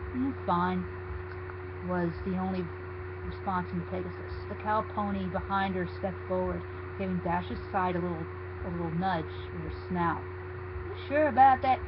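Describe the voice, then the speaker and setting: With noticeable background noise behind him, a man with a very deep, low pitch speaks at a fairly slow pace in a monotone, flat intonation. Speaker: fanfiction reader. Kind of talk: dramatic reading.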